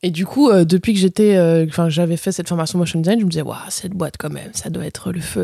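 In a very clean recording with a silent background and a dry, close sound with no echo, a woman speaks at a very fast pace in a fairly low, dark, mellow voice with fairly even intonation. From France, Bourg-en-Bresse (Ain). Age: 20s. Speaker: motion designer. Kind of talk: casual chat.

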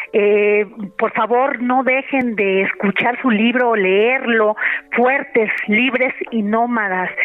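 Against noticeable background noise, a woman with a fairly high voice talks at a very slow pace and fairly even intonation. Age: 50s. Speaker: radio host. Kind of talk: radio interview.

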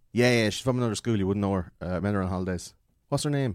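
Lively intonation in an Irish accent, on a very clean recording with a silent background. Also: man. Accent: Irish, Wexford. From Ireland. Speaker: podcast guest. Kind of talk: casual chat.

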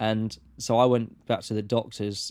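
With flat, monotone intonation, this man talks in a fairly low pitch. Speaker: podcast guest sharing counselling journey. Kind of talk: casual chat.

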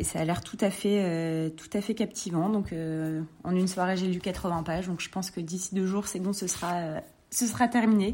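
Her voice is medium in pitch, with a dark, mellow tone. The woman speaks at a moderate pace. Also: fairly even intonation, very clean recording, silent background. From northern France, Lille. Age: 30s. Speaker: clothing brand co-founder. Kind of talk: interview. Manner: hesitant, many fillers.

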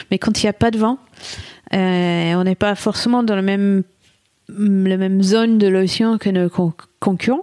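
Speaking in a British accent, a woman of medium pitch keeps a flat monotone and very even loudness at a fairly slow pace, with long, frequent pauses, in a dry, close sound without echo. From England. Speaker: solo ocean sailor. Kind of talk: interview. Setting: studio.

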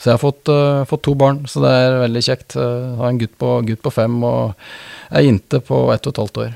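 The voice has a dark, mellow tone, a moderate pace and ordinary pitch variation, recorded with a dry, close sound and no echo. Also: man, medium pitch for a man. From Norway, Østre Toten (Oppland). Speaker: business partner in mergers and acquisitions. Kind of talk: interview. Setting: studio. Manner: halting, frequent repetitions.

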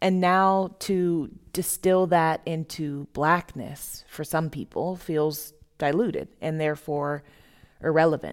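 Very slowly, a woman with an American accent speaks at a very deep, low pitch with fairly even intonation. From US South (Florida). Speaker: theater artist. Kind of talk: reading aloud a written dialogue.

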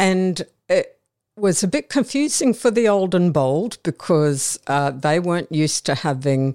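With an Australian accent, a woman speaks at a fairly slow pace in a dark, mellow tone, the sound dry and close with no echo on a very clean recording with a silent background. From Brisbane, Australia. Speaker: retired air force officer. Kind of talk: interview. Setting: studio.

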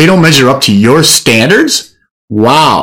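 A man speaks at a fairly high pitch. His intonation is lively. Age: 50s. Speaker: podcast host and men's coach. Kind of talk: casual advice monologue.

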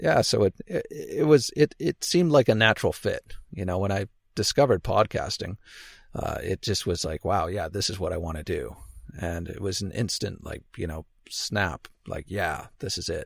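Very clean recording, silent background, with a dry, close sound and no echo. A man speaks at a moderate pace with a Canadian accent. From Canada. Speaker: podcaster, former archaeologist. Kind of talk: casual interview. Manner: halting, many fillers and repetitions.

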